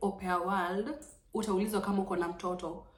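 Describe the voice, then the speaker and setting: Amid audible room echo and noticeable background noise, a woman speaks at a fairly quick pace. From Kenya. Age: 20s. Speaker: vlogger, former au pair. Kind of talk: informal tutorial vlog, code-switching English and Swahili. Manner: casual, repetitive, filler-heavy.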